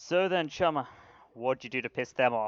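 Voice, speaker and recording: A man puts on a robotic character voice, medium in pitch, speaking at a moderate pace with ordinary pitch variation. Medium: actual play. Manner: casual, streetwise slang.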